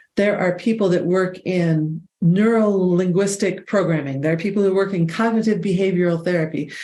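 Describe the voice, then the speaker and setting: This voice has a dark, mellow tone, ordinary pitch variation and a moderate pace. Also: woman. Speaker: podcast host and voice expert. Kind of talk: podcast intro monologue.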